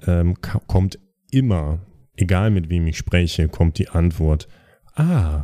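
In a very clean recording with a silent background, a man speaks very slowly in a dark, mellow tone. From East Westphalia, Germany. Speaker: podcast co-host. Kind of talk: casual chat.

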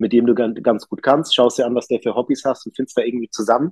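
This man speaks at a fairly quick pace with a medium pitch, fairly even intonation and a normal speaking voice. The sound is dry and close, without echo. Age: 30s. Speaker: master electrician and business owner, hunter. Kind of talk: interview. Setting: recording with poor sound quality.

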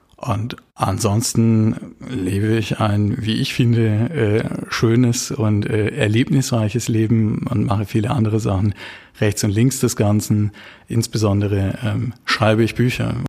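Speaking very slowly at a fairly low pitch, a man keeps his intonation fairly even and his loudness very even, with noticeable background noise behind him. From Baden, southern Germany. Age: 30s. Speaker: criminal defense lawyer. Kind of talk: interview.

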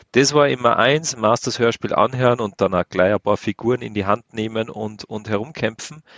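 This man has a normal speaking voice at a medium pitch. His pitch varies in an ordinary way. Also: moderate pace. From Austria. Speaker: podcast co-host. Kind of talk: casual chat.

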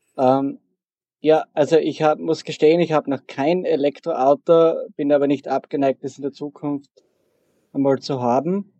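A man speaks at a moderate pace with long, frequent pauses. His fairly high voice keeps a fairly even intonation. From Austria, southeastern Styria. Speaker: programmer. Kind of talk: interview.

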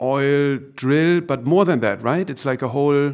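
Fairly even intonation in a German accent, on a very clean recording with a silent background. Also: man. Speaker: podcast host, art gallerist. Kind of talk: interview.

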